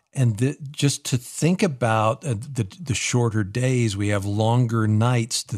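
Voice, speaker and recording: A man at medium pitch speaks very slowly and somewhat breathily, with lively intonation and hardly any pauses. The sound is dry and close with no echo, on a very clean recording with a silent background. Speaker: radio host. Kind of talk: casual chat. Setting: studio. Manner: animated.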